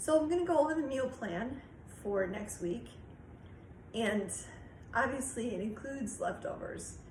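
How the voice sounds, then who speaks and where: Speaking at a moderate pace with long, frequent pauses, the voice carries audible room echo and noticeable background noise. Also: woman, high pitch for a woman. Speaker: YouTube cooking and budget vlogger. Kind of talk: casual vlog talk. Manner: hesitant, many fillers.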